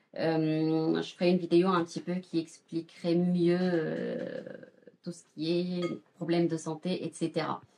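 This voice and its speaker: A woman's fairly low, dark and mellow voice, very slow, with fairly even intonation. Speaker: cooking youtuber. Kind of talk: cooking tutorial. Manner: halting, stammering; hesitant with many fillers.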